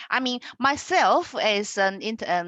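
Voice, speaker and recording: In a Chinese accent, a woman with a medium pitch and a bright, sharp tone talks with lively intonation, recorded with a dry, close sound with no echo against a quiet background. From China. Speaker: education institute representative. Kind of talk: webinar presentation.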